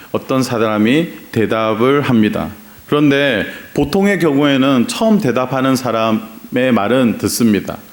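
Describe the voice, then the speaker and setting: With noticeable background noise and audible room echo, a man with a Gyeongsang accent speaks at a fairly slow pace in a medium pitch with ordinary pitch variation. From Gyeongsang region, South Korea. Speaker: pastor. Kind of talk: sermon. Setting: church.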